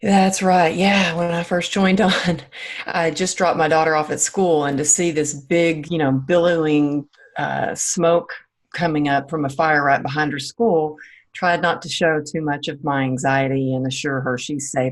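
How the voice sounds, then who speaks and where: A woman speaks with a slight Southern US accent at a moderate pace. Her pitch is very deep and low, and her intonation fairly even. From small-town Texas. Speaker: former dancer and fitness coach. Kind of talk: interview.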